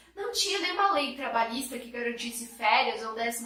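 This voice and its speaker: With audible room echo and noticeable background noise, a woman speaks in a high pitch with an animated tone. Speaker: history teacher. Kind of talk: lecture.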